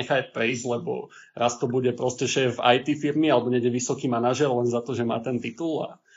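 Somewhat breathy and fairly quick, a man speaks at medium pitch with fairly even intonation. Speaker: podcast host. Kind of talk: casual chat.

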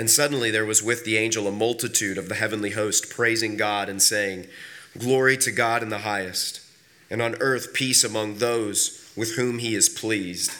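A man with a bright, sharp tone talks at a moderate pace, fairly low in pitch and with fairly even intonation.

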